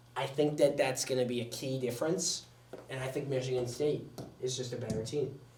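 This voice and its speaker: Medium in pitch, a man talks at a fairly quick pace. There is audible room echo and noticeable background noise. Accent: American. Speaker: sports show host. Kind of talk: casual sports commentary podcast. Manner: fast.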